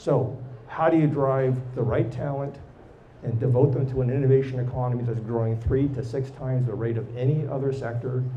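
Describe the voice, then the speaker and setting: The voice is somewhat breathy and flat, with a monotone delivery at a fairly quick pace. Room echo is audible. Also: man, medium pitch for a man. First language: not English or French. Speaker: tech executive and entrepreneur. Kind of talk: live podcast interview. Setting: live recording with audience.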